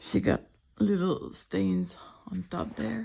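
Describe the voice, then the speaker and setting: Soft-spoken and dark, mellow in tone, a woman with a French accent lets her pitch swing very widely. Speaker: artist. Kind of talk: casual sketchbook tour chat.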